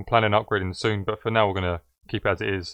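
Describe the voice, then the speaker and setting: Very fast and in monotone, flat intonation, the voice comes across dry and close with no echo against a quiet background. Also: man. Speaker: music producer tutorial creator. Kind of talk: tutorial.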